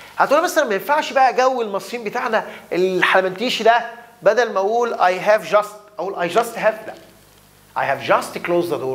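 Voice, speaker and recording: Speaking in an Egyptian accent, the voice moves at a fairly quick pace. The intonation is lively and the tone animated. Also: man, high pitch for a man. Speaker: English teacher. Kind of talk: lecture. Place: classroom.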